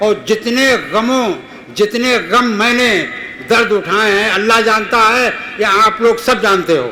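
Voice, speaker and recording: Over noticeable background noise, a man with a high pitch projects a raised voice using fairly even intonation. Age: 70s. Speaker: local election candidate. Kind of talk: campaign speech. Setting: seated before local supporters. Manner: emphatic, repetitive appeals.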